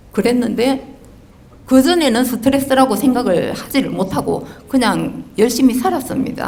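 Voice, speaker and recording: A woman talks in a high-pitched voice. Audible room echo and noticeable background noise are present. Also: ordinary pitch variation, moderate pace. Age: 60s. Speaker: audience member asking a question. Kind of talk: personal testimony in a Q&A. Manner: halting.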